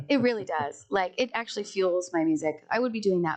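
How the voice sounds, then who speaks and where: With an American accent, a woman talks at a fairly quick pace in a medium-pitched voice. Her tone is animated and her intonation lively. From Colorado. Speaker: singer-songwriter. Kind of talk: casual chat.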